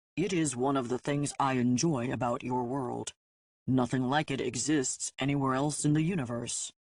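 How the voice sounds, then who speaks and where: Against a quiet background, a man puts on a character voice at a medium pitch. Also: moderate pace. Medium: read story. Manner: formal, no contractions, faintly mocking.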